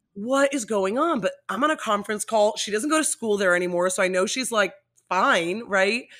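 Here is a woman with a plain, everyday voice and an American accent, speaking at a fairly high pitch and moderate pace. Her intonation is lively, and the recording is very clean with a silent background. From Miami, Florida. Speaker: TV personality. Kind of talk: casual chat.

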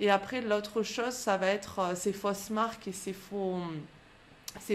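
A woman speaks at a fairly slow pace. Her pitch is medium and her intonation fairly even. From France, Aubrac plateau (Aveyron/Lozère area). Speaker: fitness coach and podcast host. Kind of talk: interview. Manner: hesitant.

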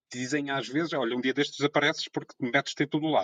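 A man speaks at a medium pitch, the sound dry and close with no echo. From Azores, São Miguel. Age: 30s. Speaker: radio presenter and amateur photographer. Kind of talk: casual chat.

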